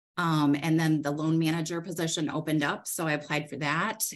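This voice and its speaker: A woman with a fairly low voice and an American accent, against a quiet background. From Michigan, US Midwest. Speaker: credit union CEO. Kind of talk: casual interview.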